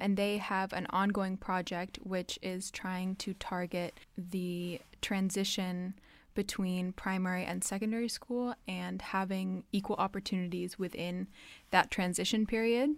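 A woman with an American accent speaks at a medium pitch, fairly slowly, with fairly even intonation, in an unremarkable speaking voice. The recording is very clean, with a silent background. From half American, half Dutch. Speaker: university student. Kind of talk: casual interview. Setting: studio.

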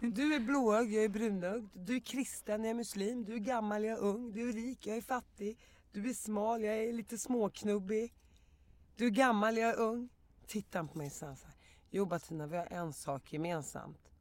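An unremarkable speaking voice from a woman at a moderate pace, fairly high in pitch, with ordinary pitch variation and big swings in loudness. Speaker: podcast guest. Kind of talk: casual chat. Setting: studio.

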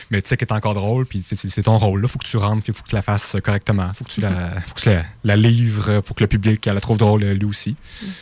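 Very fast and monotone, a man's somewhat breathy voice comes across flat, with a dry, close sound and no echo. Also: fairly low pitch for a man. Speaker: student theatre performer. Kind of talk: interview.

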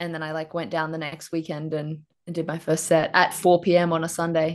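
A woman with an Australian accent and a fairly low pitch speaks at a fairly quick pace in a monotone, flat intonation, with big swings in loudness against a quiet background. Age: 20s. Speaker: stand-up comedian. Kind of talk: casual chat.

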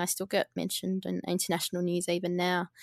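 Speaking at a fairly quick pace, a woman uses a medium pitch with an Australian accent. The recording is very clean, with a silent background and a dry, close sound with no echo. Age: 30s. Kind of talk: interview. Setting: podcast.

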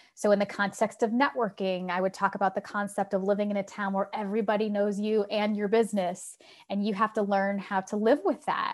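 A fairly quick pace with a US Midwestern accent. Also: woman. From Ohio, US Midwest. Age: 40s. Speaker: author and leadership speaker. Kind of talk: interview.

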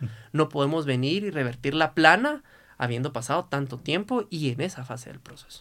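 A man's normal speaking voice, fairly high in pitch with ordinary pitch variation, a fairly quick pace and big swings in loudness. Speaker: lawyer. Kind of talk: casual chat.

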